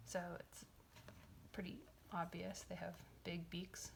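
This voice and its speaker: Soft-spoken, this voice moves along at a fairly slow pace. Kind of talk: casual chatty talk about a book and birds.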